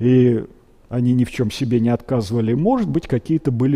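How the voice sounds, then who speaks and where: A man's medium-pitched voice with a dark, mellow tone. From Russia, Kuibyshev (Samara); Russia. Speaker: paleontologist, biology professor; biology professor. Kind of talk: public lecture. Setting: museum lecture hall with audience. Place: hall.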